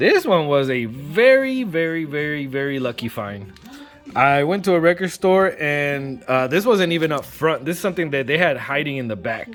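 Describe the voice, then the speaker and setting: With music in the background, a man talks at a fairly high pitch. His intonation is lively. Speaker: vinyl record collector. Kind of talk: casual vlog review. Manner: fast.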